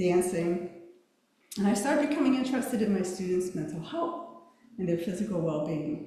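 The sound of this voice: Soft-spoken at a moderate pace, a woman talks at medium pitch with a slightly mellow tone amid strong room echo.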